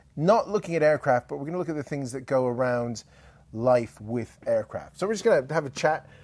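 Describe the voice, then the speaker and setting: A man with a British accent speaks at a fairly quick pace, his fairly high voice showing lively intonation on a very clean recording with a silent background. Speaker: podcast host. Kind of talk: casual interview chat.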